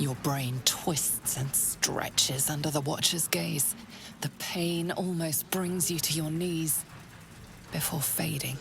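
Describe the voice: A woman's put-on character voice, low in pitch with vocal fry, a fairly bright tone, fairly even intonation and a slow pace.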